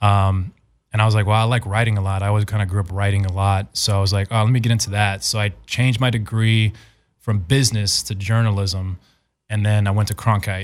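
Monotone, flat intonation with an American accent, on a very clean recording with a silent background. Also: man, fairly low pitch for a man. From Arizona, Phoenix. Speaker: actor. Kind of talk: casual chat. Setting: studio.

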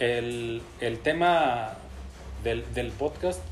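A man with a Mexican accent, plus music in the background and audible room echo. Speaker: podcast host. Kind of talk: casual chat.

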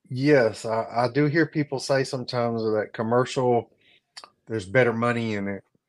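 Fairly even intonation marks this voice, delivered with a Southern US accent. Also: man, medium pitch for a man, moderate pace, quiet background. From South Carolina, North Augusta. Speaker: HVAC business owner and YouTuber. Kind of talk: casual chat. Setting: live stream.

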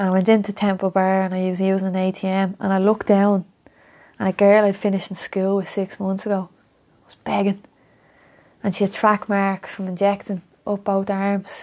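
A woman's medium-pitched voice with a Dublin accent, flat and monotone, at a moderate pace, big swings in loudness, long and frequent pauses, very clean recording over a silent background. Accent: north Dublin Irish. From Ireland, Coolock, north Dublin. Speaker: former footballer. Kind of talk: casual chat.

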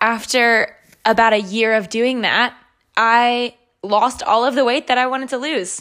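Using a normal speaking voice, a woman talks at a fairly slow pace. Her pitch is fairly high and her intonation fairly even. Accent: American. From US South, North Carolina. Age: 20s. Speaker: fitness podcaster. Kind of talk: solo podcast monologue.

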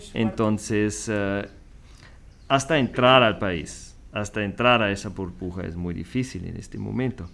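A man with a fairly low pitch and ordinary pitch variation speaks at a fairly slow pace, his loudness swinging widely. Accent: German. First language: German (speaking Spanish). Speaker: school vice principal. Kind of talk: interview. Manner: hesitant.

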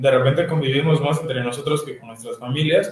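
Audible room echo surrounds speech delivered with fairly even intonation. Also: man. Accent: central Mexican. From Mexico City. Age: 20s. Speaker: architect. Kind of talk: panel talk presenting architecture practice. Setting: video stream, sharing one camera with partners.

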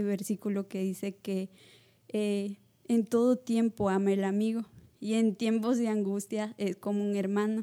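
A woman speaks at a fairly slow pace in a fairly high pitch, her dark, mellow tone delivered with monotone, flat intonation on a very clean recording with a silent background. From Peru, La Libertad. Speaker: missionary. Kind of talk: testimony.

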